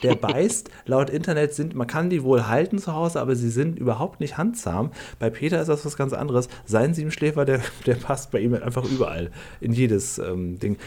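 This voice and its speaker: A dark, mellow, somewhat breathy tone moves at a moderate pace with lively intonation. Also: man, fairly high pitch for a man. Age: 40s. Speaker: podcast co-host. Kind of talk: casual chat.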